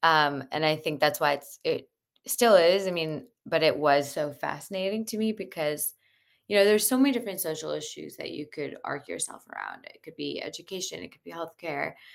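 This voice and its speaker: Talking at a fairly quick pace with an American accent, a woman with a very deep, low pitch and vocal fry uses lively intonation and big swings in loudness. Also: very clean recording, silent background. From US Midwest (Cleveland, Ohio). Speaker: entrepreneur. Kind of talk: interview.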